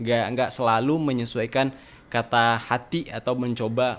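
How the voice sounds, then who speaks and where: A man's medium-pitched, monotone voice, flat in intonation and fairly slow. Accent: slight Sumatran. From Sumatra, Indonesia. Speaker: university student. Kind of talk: podcast interview. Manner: hesitant, many fillers.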